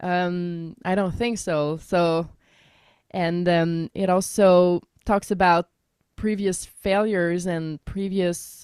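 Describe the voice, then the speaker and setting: On a very clean recording with a silent background, a woman with a French Canadian accent speaks very slowly in a fairly low pitch with monotone, flat intonation. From Quebec. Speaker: singer-songwriter. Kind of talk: radio interview.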